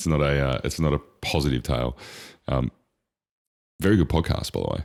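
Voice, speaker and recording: A man with a very deep, low pitch talks at a fairly quick pace, using vocal fry. His pitch variation is ordinary, and he takes long, frequent pauses. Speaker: podcast co-host. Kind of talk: casual chat. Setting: podcast recording with headphones. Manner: loud.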